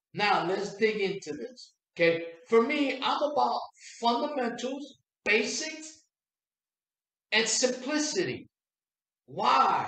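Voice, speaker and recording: A man talks at a fairly slow pace, and room echo can be heard. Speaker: sales coach. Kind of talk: motivational talk to camera. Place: home room.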